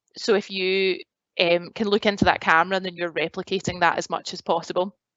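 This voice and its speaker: With a strong Glasgow accent, a woman talks at a fairly quick pace and a fairly low pitch, keeping a fairly even intonation. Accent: strong Glaswegian Scottish. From Scotland, Glasgow. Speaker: graduate recruitment advisor. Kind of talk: presentation. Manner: casual, many fillers.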